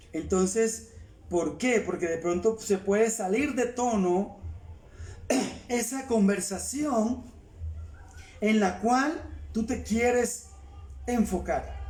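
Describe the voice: Speaking slowly in a high pitch, a man's slightly mellow tone rings with audible room echo. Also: ordinary pitch variation.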